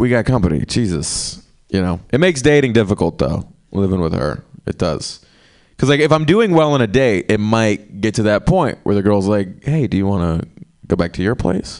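Against a quiet background, a man with an American accent and a fairly low voice speaks at a moderate pace with very wide pitch swings. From small-town North Carolina. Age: 20s. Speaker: stand-up comedian. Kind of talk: stand-up. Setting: stage with audience.

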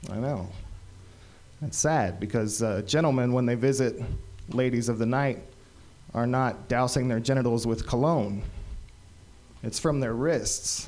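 A man at medium pitch talks at a fairly slow pace with long, frequent pauses and ordinary pitch variation, and the room echo is audible. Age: 40s. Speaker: comedian. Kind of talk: stand-up. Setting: stage with audience.

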